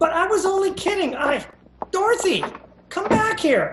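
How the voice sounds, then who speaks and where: In a squeaky, put-on character voice, someone speaks at an extremely high pitch and a moderate pace. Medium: stage play. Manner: dry, sarcastic.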